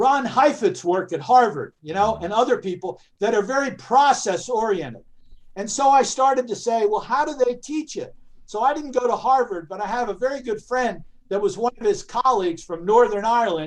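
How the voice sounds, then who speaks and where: A man at an extremely high pitch, speaking at a moderate pace. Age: 70s. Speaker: educator and aikido practitioner. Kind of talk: panel discussion.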